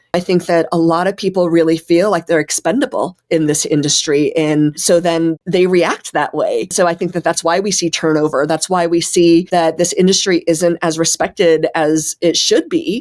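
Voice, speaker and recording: A woman with an American accent and a normal speaking voice talks at a moderate pace, fairly low in pitch and with fairly even intonation. Her loudness is very even, she barely pauses, and the sound is dry and close with no echo. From US, Denver, Colorado. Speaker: chef and restaurant owner. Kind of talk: interview.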